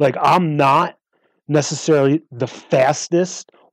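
A man with a plain, everyday voice talks at a fairly slow pace in a dry, close sound with no echo. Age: 40s. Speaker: endurance bike racer. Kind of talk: interview.

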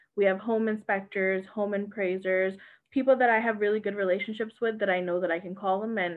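Using a plain, everyday voice with a Canadian accent, a woman speaks at medium pitch and a fairly quick pace with fairly even intonation. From Canada, Mississauga. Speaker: realtor and investor. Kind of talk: interview.

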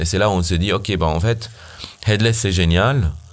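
The man's pitch is very deep and low, with ordinary variation. He speaks at a moderate pace. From Syria. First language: Arabic (speaking French). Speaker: startup founder, software engineer. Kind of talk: casual interview. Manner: halting.

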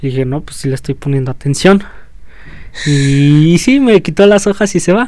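A man with a Mexican accent speaks at a fairly high pitch. His intonation is lively and his loudness swings widely. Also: moderate pace. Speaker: rapper and co-host. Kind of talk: casual chat.

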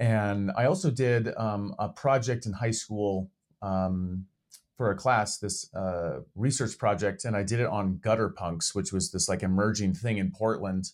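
Here a man talks in an ordinary speaking voice, fairly low in pitch, with ordinary pitch variation and a fairly slow pace. The recording is very clean, with a silent background. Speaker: podcast co-host in addiction recovery. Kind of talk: casual chat.

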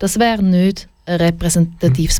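A woman with a Swiss accent talks at a fairly slow pace, her medium pitch showing ordinary variation. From Switzerland, Schaffhausen. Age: 20s. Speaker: LGBTQ advocacy director. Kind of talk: radio interview. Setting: studio.

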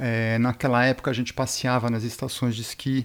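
Medium-pitched male speech at a moderate speed, in a very clean recording against a silent background. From Brazil and Switzerland. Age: 40s. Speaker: brand founder, snowboarder. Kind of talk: interview. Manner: hesitant, filler-heavy.

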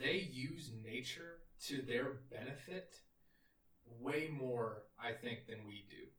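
With music in the background, a man speaks with a Texan accent in a medium pitch and ordinary pitch variation. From Texas, near Austin. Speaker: engineer recounting a service trip. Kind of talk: casual chat.

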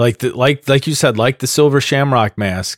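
Lively intonation marks a man speaking with a Midwestern US accent. The recording is very clean, with a silent background. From US Midwest. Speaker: podcast host. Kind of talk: casual chat. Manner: animated, excitable.

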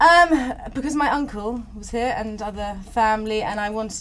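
Audible room echo and noticeable background noise around a woman talking. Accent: English. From England. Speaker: painter. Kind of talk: casual chat.

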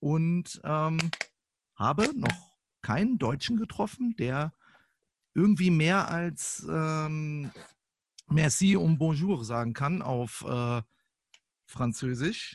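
Long, frequent pauses break up a man's very slow speech. His pitch is fairly high and his intonation lively. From northern Germany, Lippe (Kalletal). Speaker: podcast guest. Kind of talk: casual chat. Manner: animated.

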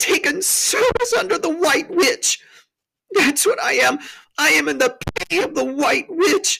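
Someone slips into a put-on character voice with a bright, sharp tone and vocal fry, speaking fairly slowly with lively intonation.

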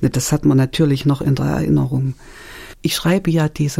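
At a moderate pace, a woman speaks with a dark, mellow tone that is somewhat breathy. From Thuringia, Germany. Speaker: author. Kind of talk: radio interview. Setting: studio.

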